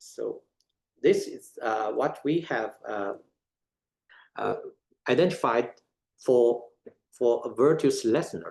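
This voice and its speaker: A man speaks at a very slow pace, his loudness swinging widely. He leaves long, frequent pauses. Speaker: academic speaker. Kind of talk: lecture. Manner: halting, many filler uhs.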